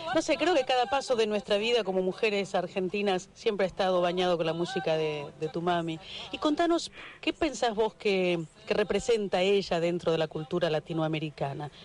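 The speech moves at a fairly quick pace with noticeable background noise. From Argentina. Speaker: radio host. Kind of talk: radio interview. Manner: animated.

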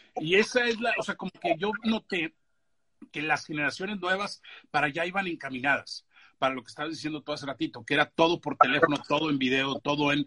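Animated and bright, sharp in tone, a man races at a very fast pace with lively intonation, the sound dry and close with no echo. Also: fairly high pitch for a man. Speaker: podcast host, screenwriter. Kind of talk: casual chat.

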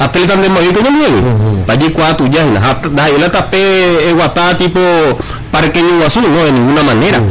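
A man speaks at a fairly high pitch and a moderate pace, with lively intonation and very even loudness. Noticeable background noise and audible room echo fill the recording. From Paraguay, Altos (Cordillera department). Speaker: local political candidate. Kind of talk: radio interview, campaign pitch. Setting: radio broadcast.

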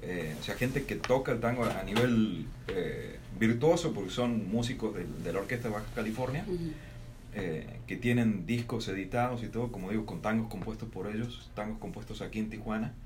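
At a fairly quick pace, a man with a medium pitch and ordinary pitch variation speaks in a room with audible echo. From Argentina, Salta. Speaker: radio host. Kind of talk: casual chat.

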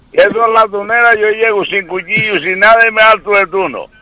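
A man speaks at a moderate pace in a high, raised, projected voice, with a dry, close sound and no echo. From Canary Islands, Telde (Gran Canaria). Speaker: radio caller. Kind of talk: phone-in chat.

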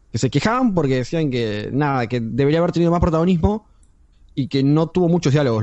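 This man talks at a very fast pace with lively intonation. His pitch sits fairly high. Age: 20s. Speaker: podcast co-host. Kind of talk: casual chat.

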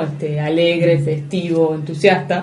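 A woman with a fairly low voice speaks at a fairly slow pace amid noticeable background noise and audible room echo. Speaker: radio host. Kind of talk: radio interview. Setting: radio studio.

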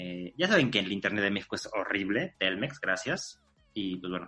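Music plays in the background as a man with a Mexican accent talks at a moderate pace. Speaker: podcast host. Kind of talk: podcast intro and interview.

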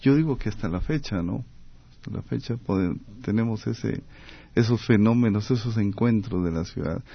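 Using an ordinary speaking voice, a man talks at a medium pitch and moderate pace. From Costa Rica. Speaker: architect and urban planner. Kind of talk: radio interview.

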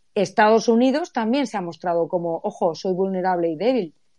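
A woman with a dark, mellow tone speaks fairly slowly, using ordinary pitch variation. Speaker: economics professor and author. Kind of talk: casual chat.

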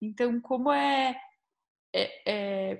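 A woman's somewhat breathy voice. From Curitiba, Brazil. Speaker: podcast host. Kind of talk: podcast interview.

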